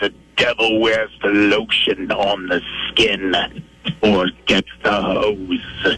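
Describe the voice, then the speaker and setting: A man's put-on character voice, fairly low in pitch, sinister in tone and very slow. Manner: creepy, sinister.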